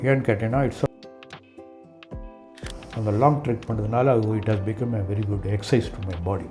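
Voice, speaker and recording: The voice shows ordinary pitch variation, with music in the background. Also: man. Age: 70s. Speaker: trekker and mountaineer. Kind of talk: interview answer. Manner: Tamil mixed with English.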